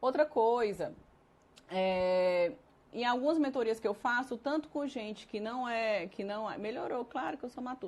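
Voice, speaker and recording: With an unremarkable speaking voice, a woman talks at a fairly slow pace in a fairly high pitch, her intonation lively. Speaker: nutritionist and consultant. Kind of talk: live-streamed lecture. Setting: live stream.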